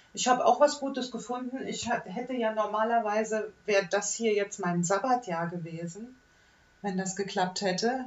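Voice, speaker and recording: At a moderate pace and fairly high pitch with ordinary variation, a woman talks amid noticeable background noise. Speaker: podcast host. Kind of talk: casual chat.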